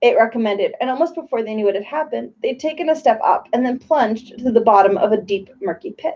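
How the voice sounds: The intonation moves in a lively way through this natural reading voice.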